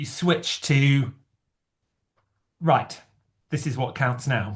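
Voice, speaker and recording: A man with a fairly high pitch and a somewhat breathy voice speaks at a very slow pace with ordinary pitch variation. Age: 60s. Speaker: amateur runner and chat host. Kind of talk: casual chat. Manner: halting.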